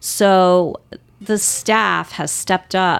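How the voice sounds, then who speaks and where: A woman's plain, everyday voice with an American accent, fairly low in pitch, with fairly even intonation. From Northern Virginia. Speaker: respiratory therapist. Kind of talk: interview.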